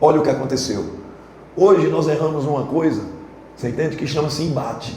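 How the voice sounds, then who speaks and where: Amid noticeable background noise and audible room echo, a man talks at a fairly quick pace with a fairly high pitch and ordinary pitch variation. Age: 60s. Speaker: football coach. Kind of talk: press conference. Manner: animated.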